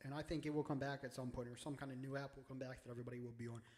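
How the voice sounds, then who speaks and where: This man speaks with an American accent. His pitch sits in the medium range. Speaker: sports video creator. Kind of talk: casual vlog commentary. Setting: home studio. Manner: loud; animated.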